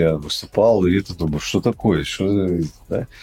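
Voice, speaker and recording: A man with an ordinary speaking voice, ordinary pitch variation and a moderate pace. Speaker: serial entrepreneur. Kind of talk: casual chat.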